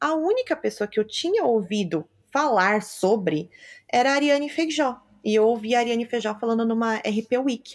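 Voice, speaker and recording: The pace stays moderate. Behind it lies a silent background on a very clean recording. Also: woman. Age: 20s. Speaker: public relations professional. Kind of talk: interview.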